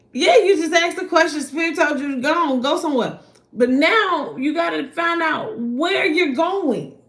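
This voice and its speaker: A woman's extremely high voice in an American accent, animated in tone, at a moderate pace with ordinary pitch variation and audible room echo. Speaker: spiritual card reader. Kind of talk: live stream tarot reading. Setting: livestream at night.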